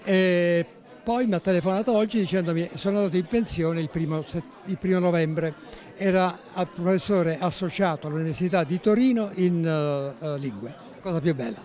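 Against light background noise, a man speaks with a high pitch and a dry sound with no echo. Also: ordinary pitch variation, moderate pace. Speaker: retired surgeon and author; interviewee. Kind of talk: interview. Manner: halting. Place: hall. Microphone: handheld.

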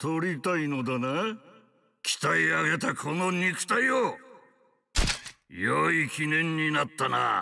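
A man uses a put-on character voice, fairly high in pitch, with lively intonation and very even loudness. He goes very slowly, with long, frequent pauses. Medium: dub.

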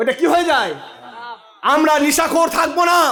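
A man talks in an animated tone, with audible room echo. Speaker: Islamic preacher. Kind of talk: sermon.

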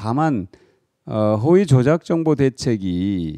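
Pitch swings very widely in a dark, mellow tone. The background is quiet. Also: man. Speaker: politician. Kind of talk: interview. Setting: office. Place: studio. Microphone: handheld.

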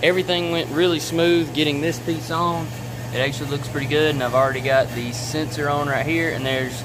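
A man speaks at a fairly quick pace with fairly even intonation. Noticeable background noise runs beneath him. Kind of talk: casual how-to vlog narration. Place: garage. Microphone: phone near.

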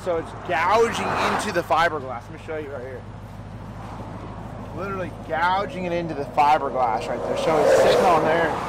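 A man talks with ordinary pitch variation. The sound is dry with no echo, though noticeable background noise is present. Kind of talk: casual vlog chat. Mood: mildly frustrated. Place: street. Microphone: phone near.

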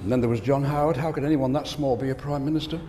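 There is noticeable background noise behind this man's fairly high-pitched voice. His intonation stays fairly even. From Australia. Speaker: keynote speaker. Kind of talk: humorous keynote speech. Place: stage. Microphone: lapel.

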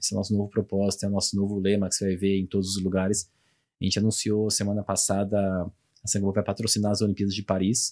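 Against a quiet background, a man talks very fast in a fairly low, dark, mellow voice with monotone, flat intonation. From Brazil, São Paulo. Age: 30s. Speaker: logistics director; guest. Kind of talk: interview. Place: studio. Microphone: studio mic.

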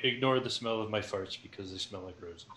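A man's put-on character voice, fairly low in pitch, at a very fast pace. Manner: pompous.

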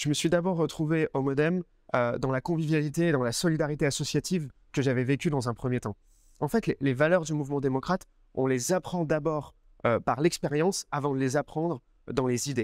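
The man's pitch is fairly high, with ordinary pitch variation. The sound is dry with no echo, and the background is quiet. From France, Grenoble. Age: 20s. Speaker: political activist, parliamentary assistant. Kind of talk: personal testimony interview. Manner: hesitant, with fillers and repetitions. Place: garden. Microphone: lapel.

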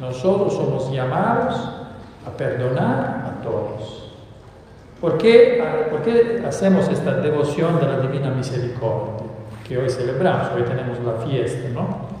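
Amid strong room echo and light background noise, a man speaks with lively intonation. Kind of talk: homily. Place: church.

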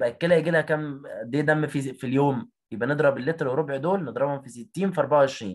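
In an Egyptian accent, a man speaks at a fairly quick pace with hardly any pauses. His pitch is fairly high with ordinary variation, over a quiet background. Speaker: biology teacher. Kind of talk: online exam revision lesson. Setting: video call. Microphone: audio cutting out.

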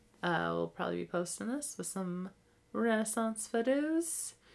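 This woman's voice has a bright, sharp tone. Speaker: podcast co-host. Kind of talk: casual chat. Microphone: new mic.

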